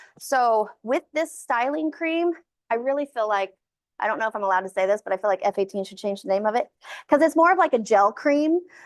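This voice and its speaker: A woman's fairly high voice races along at a fairly quick pace with very wide pitch swings, the sound dry and close with no echo. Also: quiet background. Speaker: curly hair stylist and educator. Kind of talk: hands-on tutorial class. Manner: fast.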